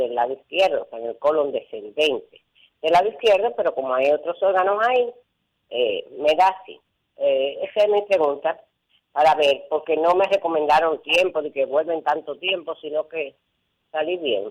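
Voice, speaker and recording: A woman's very deep, low voice carries ordinary pitch variation. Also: moderate pace. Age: 70s. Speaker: caller. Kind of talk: radio call-in question.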